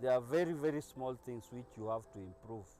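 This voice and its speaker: With music in the background, a man's medium-pitched voice shows ordinary pitch variation. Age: 60s. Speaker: small manufacturer, business owner. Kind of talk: testimonial interview.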